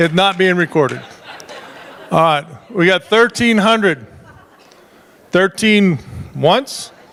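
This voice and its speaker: In an American accent, the speaker goes at a very slow pace with long, frequent pauses. Loudness stays very even over crowd noise in the background. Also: man, high pitch for a man, ordinary pitch variation. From southern Nevada, Las Vegas. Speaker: charity auctioneer. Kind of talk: live auction calling. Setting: fundraising dinner with audience.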